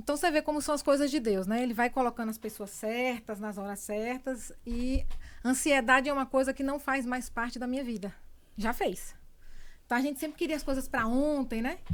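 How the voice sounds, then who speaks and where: A woman with a Bahian accent, high-pitched, at a fairly quick pace with ordinary pitch variation. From Bahia, Brazil (born in São Paulo). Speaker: communicator and entrepreneur. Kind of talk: interview testimony.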